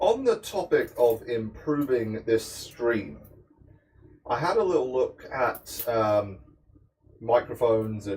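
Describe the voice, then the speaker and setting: With a British accent, a man speaks at a medium pitch with ordinary pitch variation. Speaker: cooking livestreamer. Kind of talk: casual chat while cooking. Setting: home kitchen livestream.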